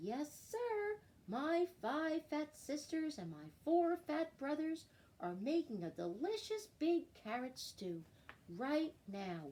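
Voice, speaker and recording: The voice is a put-on character voice. Its pace is very slow. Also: woman, high pitch for a woman. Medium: read story. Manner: eager, cheerful.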